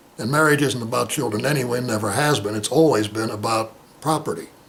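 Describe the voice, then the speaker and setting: Over noticeable background noise, a man talks very fast. His pitch is medium with ordinary variation. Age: 60s. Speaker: playwright and actor. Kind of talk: interview.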